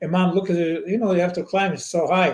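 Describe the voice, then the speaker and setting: A man with a Montenegrin accent speaks at a high pitch. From Montenegro. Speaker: children's book author. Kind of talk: interview answer.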